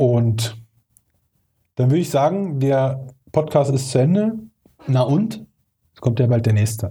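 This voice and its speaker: A man with a dark, mellow, somewhat breathy voice at a medium pitch talks at a fairly slow pace with lively intonation, big swings in loudness, and long, frequent pauses. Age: 30s. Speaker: hip-hop podcast host. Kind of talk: casual chat.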